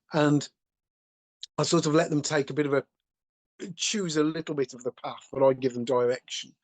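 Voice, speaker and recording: Recorded with a dry, close sound and no echo, a man talks at a fairly quick pace in a fairly high pitch, using fairly even intonation with big swings in loudness and long, frequent pauses. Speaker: furniture making teacher. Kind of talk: podcast co-host conversation.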